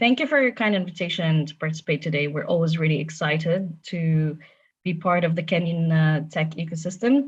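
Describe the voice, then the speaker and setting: In a quiet background, a woman talks at a moderate pace, somewhat breathy, fairly low in pitch with ordinary pitch variation. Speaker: tech company safety policy manager. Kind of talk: panel presentation. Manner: formal.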